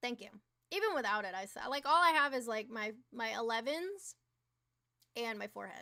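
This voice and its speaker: A woman speaks in an animated tone. Her pace is fairly quick. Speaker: livestreamer. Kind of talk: casual live-stream chat. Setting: live stream with chat audience.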